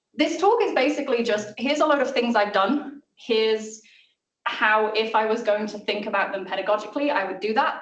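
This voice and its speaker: A woman with a South Welsh accent speaks at a fairly quick pace and fairly high pitch, with audible room echo. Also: ordinary pitch variation. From Wales (South Wales). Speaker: maths lecturer and communicator. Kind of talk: seminar talk. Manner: casual.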